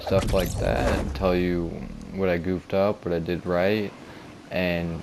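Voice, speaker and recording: Over noticeable background noise, a man speaks in a very deep, low pitch with fairly even intonation. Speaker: beginner gaming YouTuber. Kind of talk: video game commentary.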